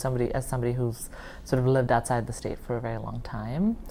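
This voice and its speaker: Her voice is very deep and low for a woman. Audible room echo surrounds it. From India. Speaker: oral history interviewee. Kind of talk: oral history interview. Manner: hesitant, many fillers.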